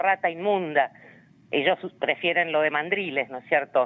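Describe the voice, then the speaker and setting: A woman's fairly low-pitched voice with an Argentine accent at a moderate pace. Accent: Rioplatense Argentine Spanish. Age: 60s. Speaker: human rights activist. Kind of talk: interview. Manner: hesitant, many fillers and repetitions.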